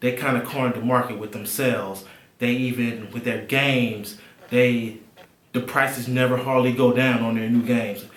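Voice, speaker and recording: Over noticeable background noise and audible room echo, a man talks at a moderate pace with a medium pitch. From Alabama. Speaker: tech and gaming YouTuber. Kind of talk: casual to-camera vlog.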